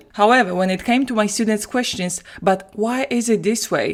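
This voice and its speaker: A woman with a Polish accent and ordinary pitch variation. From Poland. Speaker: language teacher. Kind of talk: solo podcast monologue.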